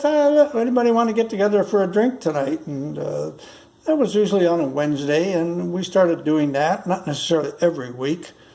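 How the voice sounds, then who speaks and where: Noticeable background noise sits under the recording. A man talks at a high pitch with lively intonation. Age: 80s+. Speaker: retired school bus driver vlogger. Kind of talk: casual monologue. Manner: halting, many fillers.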